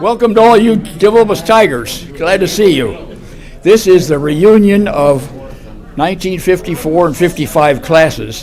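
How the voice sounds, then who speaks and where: A man with an American accent, high-pitched, with lively intonation at a moderate pace over noticeable background noise. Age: 80s+. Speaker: reunion emcee. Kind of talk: reminiscing speech to an audience. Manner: hesitant, with fillers.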